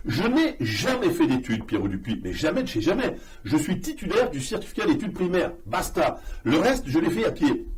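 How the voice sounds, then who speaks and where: Audible room echo and noticeable background noise are present. Through them, a man keeps a moderate pace. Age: 60s. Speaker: political adviser. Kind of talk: interview. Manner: hesitant, many fillers.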